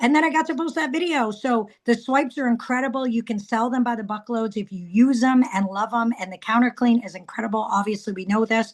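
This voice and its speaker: A woman talks at a fairly quick pace in a fairly high voice. Her tone is animated. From Canada. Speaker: direct sales consultant. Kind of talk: casual training talk on a group call. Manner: fast.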